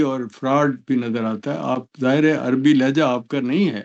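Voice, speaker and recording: A man's medium pitch varies in an ordinary way as he talks in a normal speaking voice. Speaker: political analyst. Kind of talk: interview.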